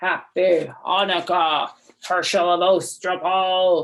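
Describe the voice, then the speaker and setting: In a put-on character voice, creaky and at a middle pitch, the speaker goes at a very slow pace. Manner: menacing.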